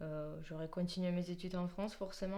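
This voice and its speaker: Her intonation monotone and flat, a woman talks at a moderate pace with a fairly low pitch, and audible room echo is present. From Georgia, near Kutaisi. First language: Georgian (speaking French). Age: 20s. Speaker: musician, pianist. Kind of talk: interview. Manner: hesitant, many fillers.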